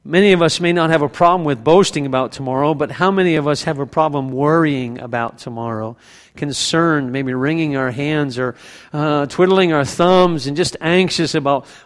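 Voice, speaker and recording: Someone with a plain, everyday voice speaks at a moderate pace with ordinary pitch variation. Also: man. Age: 50s. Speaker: pastor. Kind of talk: sermon.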